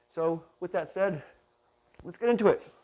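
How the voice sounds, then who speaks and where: A quiet male voice with a dark, mellow tone, a fairly quick pace and ordinary pitch variation. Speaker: product tutorial host. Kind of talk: tutorial. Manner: quiet, kept down.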